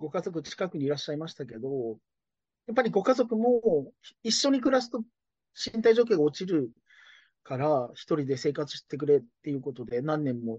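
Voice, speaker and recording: A man speaks at a fairly quick pace with a fairly high pitch. His pitch swings very widely and his loudness varies a great deal. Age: 40s. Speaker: care business owner. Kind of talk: interview.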